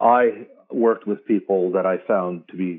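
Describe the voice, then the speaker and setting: An unremarkable speaking voice with ordinary pitch variation, in a Canadian accent. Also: man. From Canada. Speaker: military veteran and advocate. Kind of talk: interview.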